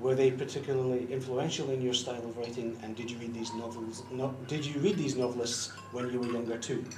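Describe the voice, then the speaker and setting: Over noticeable background noise and audible room echo, a man talks at a very fast pace with hardly any pauses in a monotone, flat intonation. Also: medium pitch for a man. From Scotland. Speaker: fan interviewer. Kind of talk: interview questions.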